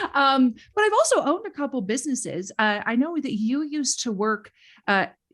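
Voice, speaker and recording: Speaking in a Minnesotan accent, a woman talks at a fairly quick pace in a high pitch with very wide pitch swings. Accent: Minnesota. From Minnesota, US Upper Midwest. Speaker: former teacher turned educator. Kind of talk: casual chat.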